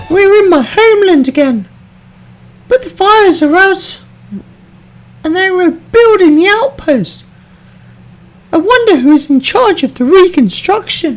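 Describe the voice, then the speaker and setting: This is a put-on character voice with an extremely high pitch. It has long, frequent pauses. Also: moderate pace. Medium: voice reel.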